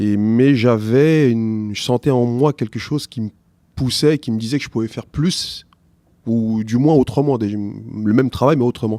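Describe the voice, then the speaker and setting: With a dark, mellow tone, a man speaks at a fairly slow pace and fairly even intonation in a very clean recording with a silent background. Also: medium pitch for a man. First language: not French (speaking French). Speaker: teacher. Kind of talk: interview. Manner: halting.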